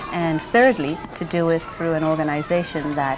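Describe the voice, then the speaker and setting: A woman speaks at a very deep, low pitch. Music plays in the background, and audible room echo surrounds her. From Jamaica. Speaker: early childhood education student. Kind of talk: documentary interview.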